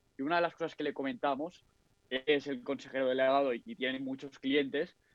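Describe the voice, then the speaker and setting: This man has an ordinary speaking voice at a medium pitch, talking fairly quickly with ordinary pitch variation. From Catalonia, Spain (Barcelona). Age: 20s. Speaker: forex trader and engineering student. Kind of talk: casual chat.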